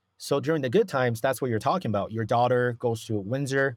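This is an ordinary speaking voice from a man at medium pitch with ordinary pitch variation. The recording is very clean, with a silent background. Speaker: real estate investor. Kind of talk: interview. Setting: podcast recording.

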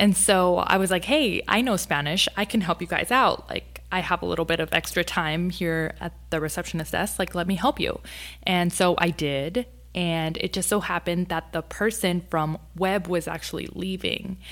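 In a very clean recording with a silent background, a woman with an American accent sounds bubbly, with vocal fry. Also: fairly low pitch for a woman, ordinary pitch variation, moderate pace. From Texas, Rio Grande Valley. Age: 20s. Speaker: TV lifestyle segment host. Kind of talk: casual interview. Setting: studio. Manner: bubbly and outgoing.

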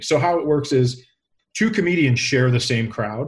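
Somewhat breathy male speech in an American accent, at a fairly slow pace. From Minnesota. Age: 40s. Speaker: comedian. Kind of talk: interview.

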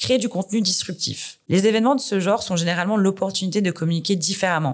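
A woman with an ordinary speaking voice, medium pitch, ordinary pitch variation and a fairly quick pace. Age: 30s. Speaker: corporate communications director. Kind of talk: interview.

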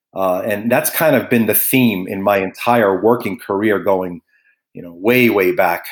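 On a very clean recording with a silent background, a man with an American accent uses an ordinary speaking voice, fairly low in pitch with ordinary pitch variation, at a fairly slow pace. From New York, Brooklyn. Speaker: sportsbook manager. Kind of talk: podcast interview.

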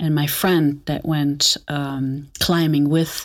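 A woman with a German accent and a very deep, low pitch. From Germany, Aachen. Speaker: botanical perfumer. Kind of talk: personal testimony interview.

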